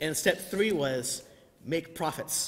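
This man's voice moves through very wide pitch swings. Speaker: clergy preaching. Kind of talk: sermon. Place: church. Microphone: podium.

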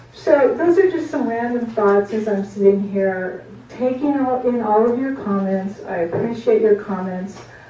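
Lively in intonation, a woman speaks with hardly any pauses, amid light background noise and audible room echo. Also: moderate pace. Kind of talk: meeting remarks. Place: meeting room. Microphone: camera far.

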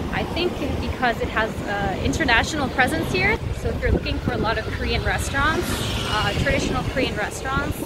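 Loud background noise surrounds a fairly quick-paced voice, with dry sound and no echo. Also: woman. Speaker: vlogger. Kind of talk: casual vlog chat. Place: street. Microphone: phone near.

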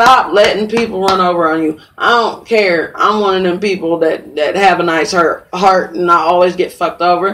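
A woman talks with an American accent and hardly any pauses. Noticeable background noise runs underneath. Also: medium pitch for a woman, moderate pace. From US Midwest, St. Joseph, Missouri. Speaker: podcast host. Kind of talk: casual chat. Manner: animated.

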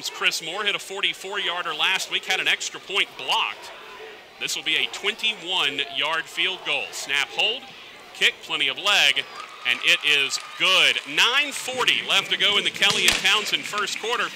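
Against noticeable background noise, a man speaks at a fairly slow pace, his high pitch carrying lively intonation. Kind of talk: football play-by-play commentary. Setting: stadium broadcast.

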